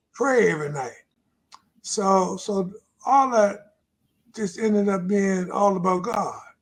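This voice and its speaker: Slowed by long, frequent pauses, a speaker with an American accent moves at a fairly slow pace amid audible room echo. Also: man, high pitch for a man, ordinary pitch variation. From Virginia, Lunenburg County. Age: 80s+. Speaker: retired pastor and author. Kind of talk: interview testimony.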